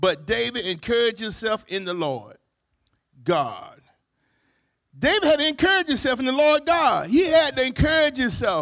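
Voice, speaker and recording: A man speaks at an extremely high pitch with very wide pitch swings and an animated tone. His pace is moderate, broken by long, frequent pauses. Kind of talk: sermon. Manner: animated call-and-response preacher cadence, repeating phrases and asking for amens; warm, upbeat, exhorting and encouraging.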